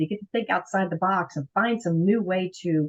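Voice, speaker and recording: Her voice somewhat breathy, a woman talks at a fairly quick clip. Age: 60s. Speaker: professional organizer. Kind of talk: interview.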